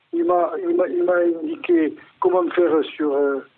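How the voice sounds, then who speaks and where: A man is talking. His pace is very slow. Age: 80s+. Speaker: retiree and helpline caller. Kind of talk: interview testimony. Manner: halting, many hesitations and repetitions.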